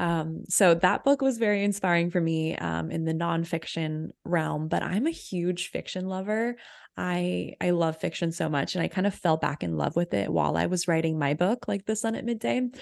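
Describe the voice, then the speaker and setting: With an American accent and an unremarkable speaking voice, a woman of fairly low pitch talks at a moderate pace with lively intonation and hardly any pauses against a quiet background. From Texas, Austin. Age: 20s. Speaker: creativity mentor and author. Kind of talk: interview conversation.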